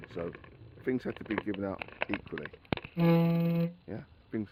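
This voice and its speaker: This is a man talking. He has a London accent. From England, grew up in Barkingside, east London. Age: 60s. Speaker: former children's home resident and army veteran. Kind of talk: personal reminiscence monologue. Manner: conversational, hesitant with fillers.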